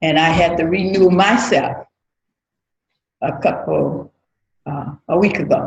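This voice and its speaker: In an American accent, a woman talks with a fairly low pitch and vocal fry. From US South, Mississippi. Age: 60s. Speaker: church member. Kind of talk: testimony.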